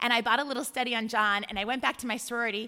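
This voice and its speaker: This woman has a high-pitched, bright, sharp voice with an American accent and ordinary pitch variation. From California, Bay Area. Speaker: church deacon. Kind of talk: testimony.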